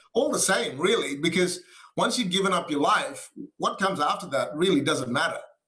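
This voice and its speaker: Projecting in a raised voice, a high-pitched man with an Australian accent talks at a fairly quick pace with lively intonation and very even loudness, in a space with audible room echo. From Western Australia (Perth), from age nine; early childhood in Malaysia. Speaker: pastor. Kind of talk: interview.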